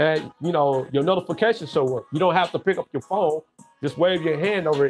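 With faint music in the background, a man talks at a fairly quick pace. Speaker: tech livestreamer. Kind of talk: casual vlog chat. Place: home room. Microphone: webcam.

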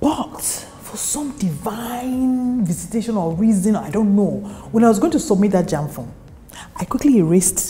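A woman with a Nigerian accent, fairly high-pitched, with lively intonation, a moderate pace, and long, frequent pauses. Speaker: actress. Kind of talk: interview answer. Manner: soft-spoken. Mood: reflective, candid, animated gestures. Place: office.

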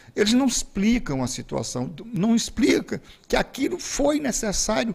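At a fairly slow pace, a man speaks at an extremely high pitch with very wide pitch swings. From Pinheiro, Maranhão, Brazil; Maranhão, Brazil. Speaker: football federation president; guest. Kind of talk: interview. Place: studio. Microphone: studio mic.

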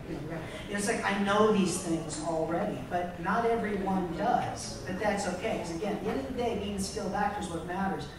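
Through noticeable background noise and strong room echo, a man with a high-pitched voice talks at a fairly quick pace. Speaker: voice actor. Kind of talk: convention panel discussion. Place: hall.

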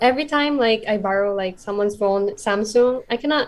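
A woman with a Filipino accent at a moderate pace, with ordinary pitch variation. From Philippines. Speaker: content creator; podcast guest. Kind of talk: casual chat. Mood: laughing, self-deprecating. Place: home room. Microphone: video call.

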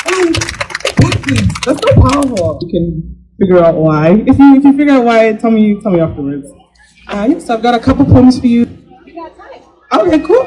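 An extremely high-pitched male voice at a moderate pace, with very wide pitch swings, big swings in loudness, and light background noise. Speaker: event emcee and poet. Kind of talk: spoken word poetry. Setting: stage with audience. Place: stage.

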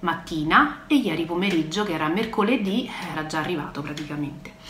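A woman talks at a fairly quick pace with ordinary pitch variation, with audible room echo and light background noise. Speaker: product sales rep. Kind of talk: casual vlog chat. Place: home room. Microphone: phone near.

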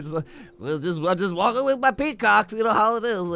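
Doing a put-on character voice, a man projects a raised, nasal voice at a high pitch and a moderate pace. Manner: casual, matter-of-fact.

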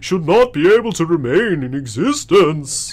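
A man in a put-on character voice at a fairly slow pace

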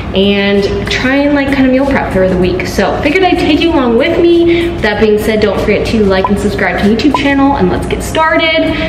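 A woman talks at a fairly quick pace with hardly any pauses. Music plays in the background, and room echo is audible. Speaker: fitness vlogger. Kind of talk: casual vlog chat. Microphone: phone near.

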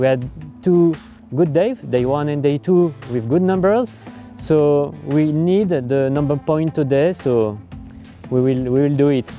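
A man talks at a fairly slow pace with ordinary pitch variation, in a dry sound with no echo and faint music in the background. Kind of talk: interview answer. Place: boat.

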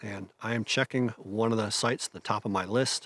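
A man at a fairly quick pace, with a dry sound and no echo. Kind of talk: casual vlog chat. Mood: calm, reflective. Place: open country.

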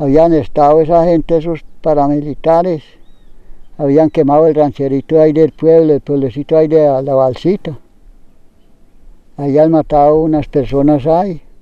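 A man's fairly high voice with a dark, mellow tone, monotone, flat intonation and very even loudness, at a moderate pace with long, frequent pauses, in a dry sound with no echo against a quiet background. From Colombia, western Antioquia. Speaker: farmer. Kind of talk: testimony; interview answer. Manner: halting. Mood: somber, recalling displacement. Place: open country.

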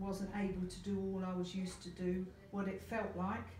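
A woman at a medium pitch and moderate pace, amid light background noise and audible room echo. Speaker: care business owner. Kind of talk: interviewer. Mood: warm, engaged. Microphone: camera far.

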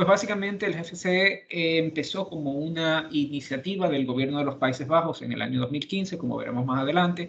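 Over light background noise, a man with an unremarkable speaking voice talks at a fairly high pitch with ordinary pitch variation. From Dominican Republic. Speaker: cybersecurity policy expert, lawyer; lawyer. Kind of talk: virtual presentation. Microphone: video call.

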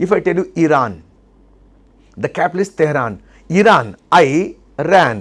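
Speaking with an Indian accent, a man sounds animated, with lively intonation. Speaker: memory trainer. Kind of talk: tutorial. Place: studio. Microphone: lapel.

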